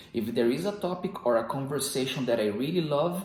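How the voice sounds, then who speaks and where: A man speaks at a moderate pace in a fairly high, somewhat breathy voice with lively intonation, and the room echo is audible. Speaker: self-improvement video host. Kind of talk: motivational monologue. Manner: controlled volume.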